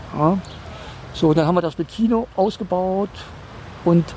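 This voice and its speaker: The speaker uses ordinary pitch variation. Noticeable background noise can be heard. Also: man. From Rhineland, Koblenz. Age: 60s. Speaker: resident of a trailer community. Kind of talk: casual interview.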